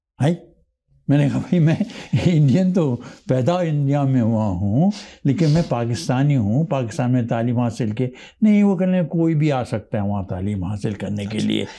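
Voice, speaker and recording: A man speaks fairly slowly in a dark, mellow tone. His pitch swings very widely. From Pakistan (born Hyderabad Deccan, India); Pakistan. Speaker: retired lawyer, immigrant; retired lawyer. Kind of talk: interview storytelling. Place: studio. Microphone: lapel.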